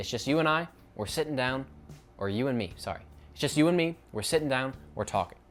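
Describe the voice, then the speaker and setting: With music in the background, a man speaks very fast at medium pitch with lively intonation. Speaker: YouTuber. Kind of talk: unscripted casual vlog monologue. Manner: casual, self-correcting.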